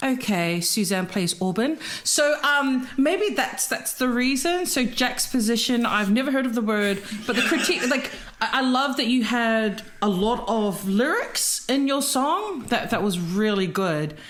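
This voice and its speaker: Amid noticeable background noise and audible room echo, a woman speaks at a fairly slow pace with a high pitch, lively intonation and very even loudness. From Pacific Islands. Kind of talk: casual chat.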